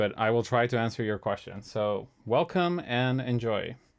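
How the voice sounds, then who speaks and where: A man with a non-native accent speaks against a quiet background. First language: not English. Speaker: music composer streamer. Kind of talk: live stream chat. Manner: halting, many fillers.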